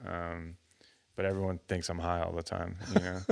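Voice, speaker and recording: A man with a Texan accent talks at a moderate pace in a very deep, low voice. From Texas, Houston area. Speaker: musician. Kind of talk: casual interview chat. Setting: studio. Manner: halting, many fillers and restarts.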